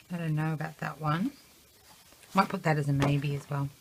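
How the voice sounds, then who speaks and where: A woman speaks with an Australian accent at a very deep, low pitch. Her pitch variation is ordinary, and there is noticeable background noise. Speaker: scrapbooker. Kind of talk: casual tutorial. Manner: soft-spoken.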